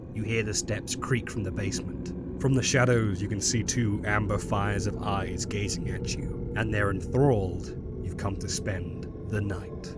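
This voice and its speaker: A man speaks at a moderate pace with lively intonation and fairly low pitch. He hardly pauses while music plays in the background. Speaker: lore narrator. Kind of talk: second-person horror story narration.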